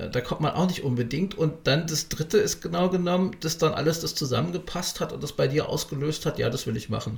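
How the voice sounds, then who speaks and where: This man talks at a fairly quick pace, hardly pausing, his fairly high pitch showing vocal fry. His pitch variation is ordinary. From Berlin. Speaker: podcast host. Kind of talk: interview.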